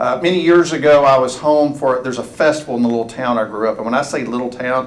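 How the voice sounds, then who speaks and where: Speaking very fast with ordinary pitch variation, a man is heard over noticeable background noise. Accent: East Texas. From East Texas, US. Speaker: college presidential candidate. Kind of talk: public forum talk. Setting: room with audience, microphone.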